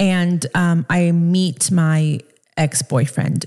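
A woman talks in a fairly low pitch with an American accent. Her voice is somewhat breathy, with a dark, mellow tone. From US East Coast and Miami. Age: 30s. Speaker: podcast host. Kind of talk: casual monologue. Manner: animated.

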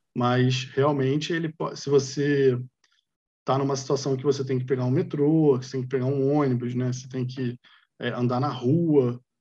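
A man speaks at medium pitch and a moderate pace, his tone dark and mellow. His voice is somewhat breathy, with monotone, flat intonation. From Brazil, Rio de Janeiro. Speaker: industrial designer. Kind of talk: casual chat.

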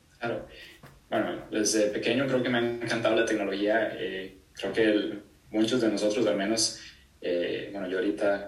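Amid audible room echo, a man with a fairly low pitch speaks at a moderate pace. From Costa Rica. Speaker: exercise physiologist and strength coach. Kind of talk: interview.

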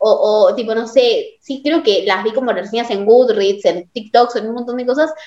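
A woman's high-pitched voice in a Rioplatense accent, at a moderate pace with hardly any pauses and ordinary pitch variation. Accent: Argentine Rioplatense Spanish. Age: young. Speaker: podcast host. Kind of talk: casual chat.

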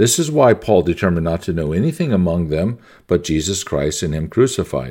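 In a very clean recording with a silent background, a man speaks at a moderate pace with a very deep, low pitch, ordinary pitch variation and a dark, mellow tone. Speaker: sermon reader. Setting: video with a picture on screen, recorded alone. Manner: earnest, impassioned preaching delivery with rhetorical questions and emphasis; sincere, reverent.

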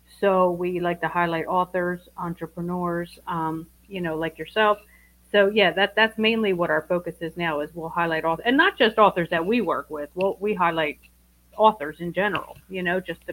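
This woman has an unremarkable speaking voice, fairly low in pitch, with fairly even intonation. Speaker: guest, partner of other guest.

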